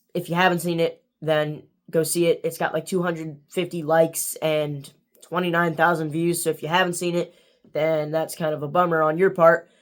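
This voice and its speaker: The speaker is a man. He talks at a high pitch. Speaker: youtuber book reviewer. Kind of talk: casual vlog outro. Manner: monotone.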